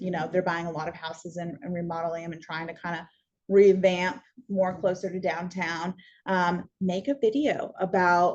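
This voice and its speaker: This is an ordinary speaking voice, a woman's, fairly low in pitch and at a moderate pace. Her loudness swings widely. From US Pacific Northwest (Washington). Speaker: real estate course instructor. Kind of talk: continuing education lecture. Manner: casual with many fillers.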